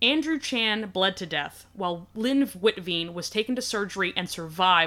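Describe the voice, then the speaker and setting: A woman talks at a fairly quick pace with lively intonation. Her tone is bright and sharp. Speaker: podcast host. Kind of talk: casual podcast chat, true crime storytelling.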